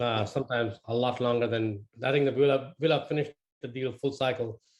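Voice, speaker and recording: This man talks at a very fast pace with an Indian accent. His intonation stays fairly even. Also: medium pitch for a man. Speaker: webinar attendee. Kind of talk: Q&A question.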